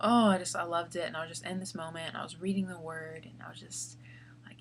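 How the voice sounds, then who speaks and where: A quiet woman's voice with an American accent and audible room echo. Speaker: vlogger. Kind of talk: casual vlog talk. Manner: halting, many fillers.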